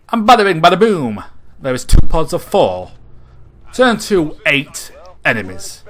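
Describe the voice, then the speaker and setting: Using a high pitch, a man talks at a fairly slow pace broken by long, frequent pauses. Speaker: gaming commentator. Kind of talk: post-recorded gameplay commentary. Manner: monotone; casual.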